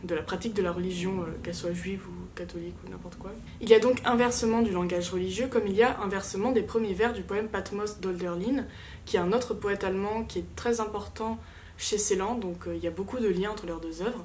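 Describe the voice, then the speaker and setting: Speaking at a fairly quick pace with vocal fry, a woman of medium pitch keeps her intonation fairly even amid audible room echo. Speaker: literature student youtuber. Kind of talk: rehearsed class presentation. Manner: fast; hesitant fillers.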